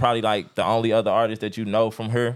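The speaker is male. He rattles along at a very fast pace. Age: 30s. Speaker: podcast host. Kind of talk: casual interview.

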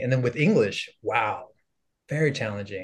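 Against a quiet background, a man with an American accent sounds somewhat breathy, his pitch varying in an ordinary way. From Los Angeles area, US (San Fernando Valley). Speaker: content creator and former teacher. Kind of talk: casual interview chat.

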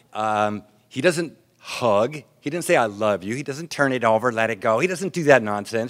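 Lively, moderately paced male speech with an American accent on a very clean recording with a silent background. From US military family, raised abroad. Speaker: AA speaker. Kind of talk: recovery talk. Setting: stage with audience. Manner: clear.

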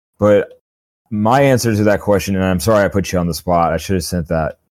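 The man talks at a moderate pace, his pitch varying in an ordinary way. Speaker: podcast host. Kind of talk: casual chat, TV recap podcast. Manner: animated, enthusiastic.

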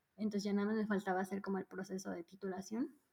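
A dark, mellow tone, somewhat breathy, with fairly even intonation. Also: woman. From Mexico, Mérida (Yucatán). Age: 30s. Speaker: psychologist turned UX professional, expat. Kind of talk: casual interview chat.

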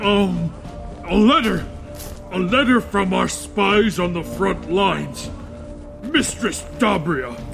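A man uses a put-on character voice at a very slow pace. Clear music plays in the background. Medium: audio drama. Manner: subservient.

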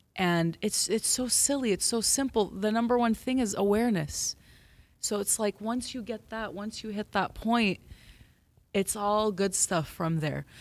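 A woman with an ordinary speaking voice and a fairly high pitch talks at a fairly slow pace with ordinary pitch variation in a very clean recording with a silent background. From Los Angeles. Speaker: mental health worker. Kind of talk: casual chat.

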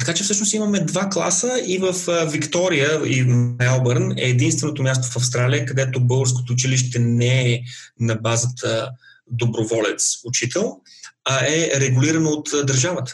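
A man talks in a plain, everyday voice at a medium pitch and moderate pace, with ordinary pitch variation and very even loudness. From Bulgaria. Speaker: IT professional, immigrant. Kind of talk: interview.

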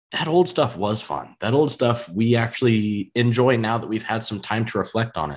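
A man with an American accent has a plain, everyday voice at a medium pitch. He talks at a moderate pace with lively intonation and hardly any pauses. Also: quiet background. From US Midwest. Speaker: podcast host. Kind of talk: casual interview. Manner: casual, filler-heavy.

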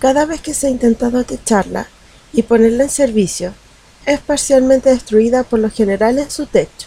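Noticeable background noise behind a woman, her pace moderate and her pitch varying in an ordinary way. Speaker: storyteller narrating legends. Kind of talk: scripted-style legend narration, storytelling. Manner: measured, storyteller cadence with intrigue.

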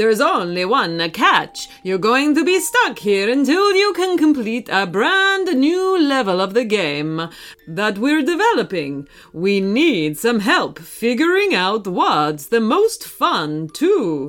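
Using a put-on character voice, a woman speaks slowly with few pauses and big pitch swings. Her fairly high pitch carries a fairly bright tone.

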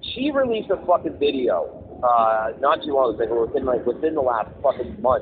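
There is noticeable background noise. Speech runs at a moderate pace with hardly any pauses. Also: man. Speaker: podcast co-host. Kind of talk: casual chat. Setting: phone call.

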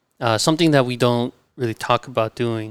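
A man with an American accent talks at a medium pitch. The sound is dry and close with no echo, on a very clean recording with a silent background. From Southern California. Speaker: chef and restaurant co-founder. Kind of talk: casual chat. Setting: in a restaurant space.

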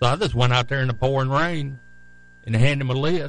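A man with a Southern US accent speaks very fast at a medium pitch, showing ordinary pitch variation. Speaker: radio co-host, former racing team manager. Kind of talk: casual radio talk show. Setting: studio.

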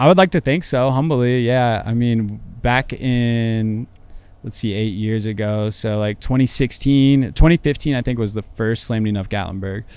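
With a plain, everyday voice, a man talks at a moderate pace and medium pitch, with ordinary pitch variation. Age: 30s. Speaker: car club owner. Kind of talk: casual interview. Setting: studio.

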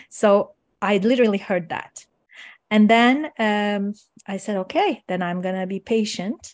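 In a Turkish accent, a woman speaks at a fairly slow pace with a medium pitch. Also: ordinary pitch variation. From Turkey. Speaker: coach and meditation teacher. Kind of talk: casual interview chat.

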